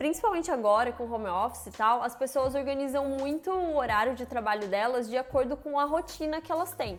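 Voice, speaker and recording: Music in the background behind a woman's high-pitched voice at a fairly quick pace. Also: ordinary pitch variation, hardly any pauses. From Brazil. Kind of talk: casual talk to camera.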